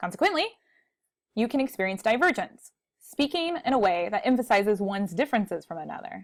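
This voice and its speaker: Speaking at a very fast pace, a woman with a fairly high pitch makes very wide pitch swings against a quiet background. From Texas. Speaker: college speech instructor. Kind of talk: recorded lecture. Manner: conversational. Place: home room. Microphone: earbuds.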